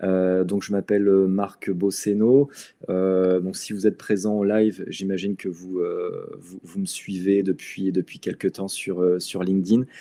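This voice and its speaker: A man speaks at a fairly slow pace in a fairly low pitch. His tone is dark and mellow, and his intonation is monotone and flat. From Brittany, France (Lorient). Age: 40s. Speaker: real estate investment presenter. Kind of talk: live webinar presentation. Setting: online livestream. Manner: halting, many fillers and repetitions.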